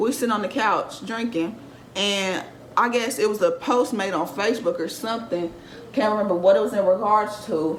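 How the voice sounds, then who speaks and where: Noticeable background noise behind a woman at a medium pitch, with ordinary variation in pitch. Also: moderate pace. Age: young. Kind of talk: casual storytime talk to camera.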